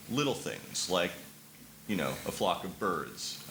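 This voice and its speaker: A man's voice over noticeable background noise. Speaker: former advertising worker. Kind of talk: conversational anecdote in a panel discussion.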